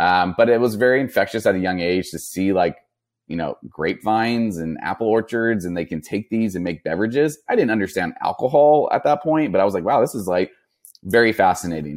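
A man talks with a plain, everyday voice at a fairly low pitch and a fairly quick pace. His intonation is lively, and the recording is very clean with a silent background. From Northern California, Napa area. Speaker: non-alcoholic bottle shop founder. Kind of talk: interview.

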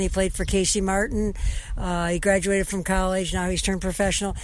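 A woman speaks at a medium pitch. Noticeable background noise runs beneath her. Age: 60s. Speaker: sports radio host. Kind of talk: sports talk show.

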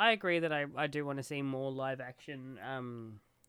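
A man with an Australian accent speaks at a moderate pace, his fairly high voice bright and sharp in tone. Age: 20s. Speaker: podcast guest. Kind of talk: casual chat.

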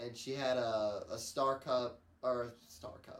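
There is audible room echo around this man. He speaks in a medium pitch with ordinary pitch variation. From US Midwest, Missouri (Crystal City area). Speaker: podcast co-host. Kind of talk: casual chat.

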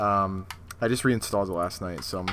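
With a fairly low pitch and an unremarkable speaking voice, a man talks at a fairly quick pace with ordinary pitch variation. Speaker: podcast co-host leading the episode. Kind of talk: casual chat.

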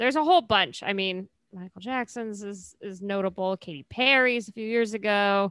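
On a very clean recording with a silent background and a dry, close sound with no echo, a woman with an American accent uses a normal speaking voice at a medium pitch, a moderate pace and ordinary pitch variation. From California. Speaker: podcast co-host. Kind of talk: casual chat.

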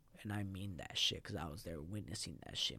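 A man speaks in an American accent. His tone is animated and his pace fairly quick. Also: very clean recording, silent background. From San Fernando Valley, Los Angeles (Mexican-born). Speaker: podcast host. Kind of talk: casual interview, life story. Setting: studio.

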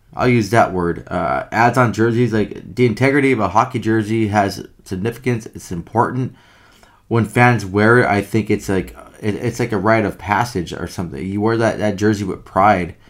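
On a very clean recording with a silent background, a man with a fairly low pitch uses a normal speaking voice, ordinary pitch variation and a moderate pace. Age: 30s. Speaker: hockey podcast co-host. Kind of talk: casual chat.

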